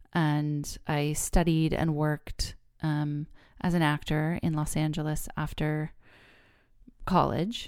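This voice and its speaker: On a very clean recording with a silent background, a woman with a Californian accent speaks very slowly in a very deep, low pitch, using monotone, flat intonation and long, frequent pauses. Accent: Californian American English. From California, Bay Area. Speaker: podcast host, therapist. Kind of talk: solo podcast monologue.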